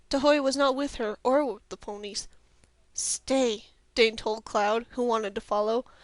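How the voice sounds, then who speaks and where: A woman with a normal speaking voice talks at a fairly slow pace and a fairly high pitch, keeping her intonation fairly even. Her loudness swings a lot, and the background is quiet. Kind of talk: audiobook read-aloud. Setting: headset microphone.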